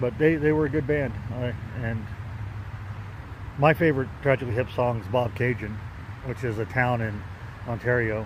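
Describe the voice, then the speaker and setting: A man's medium-pitched voice with a Kansas accent, a moderate pace, long and frequent pauses, and ordinary pitch variation. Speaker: pipe-smoking video blogger. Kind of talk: casual vlog monologue. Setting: outdoors on a park bike trail. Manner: halting, with many fillers and repeats.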